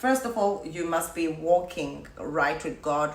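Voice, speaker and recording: Amid noticeable background noise and audible room echo, a woman with a fairly low pitch speaks very slowly with ordinary pitch variation. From South Africa. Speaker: YouTuber. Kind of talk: casual vlog talk to viewers.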